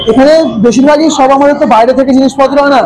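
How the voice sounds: Clear background noise surrounds a man with an extremely high pitch. He talks at a very fast pace with fairly even intonation.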